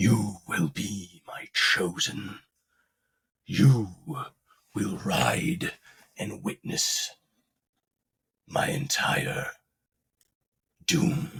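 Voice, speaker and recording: A man puts on a character voice, pitched medium and delivered at a very slow pace. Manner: anxious, ominous, calling.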